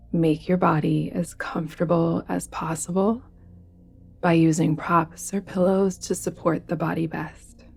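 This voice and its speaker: Music plays in the background as a woman speaks at a fairly slow pace in a fairly low pitch. Her tone is calm and her intonation fairly even. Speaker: yoga nidra guide. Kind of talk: guided meditation. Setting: soft background music with bells. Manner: calm, soft-spoken, slow.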